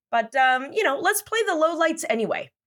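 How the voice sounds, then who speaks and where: On a very clean recording with a silent background, a woman speaks in an animated tone with very wide pitch swings. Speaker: news podcast host. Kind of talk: scripted news commentary, comedic. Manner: animated, sarcastic.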